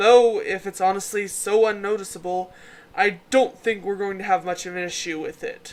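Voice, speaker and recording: A booming, put-on character voice in a middle pitch, cheerful in tone, at a moderate pace. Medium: read story. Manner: booming, cheerful.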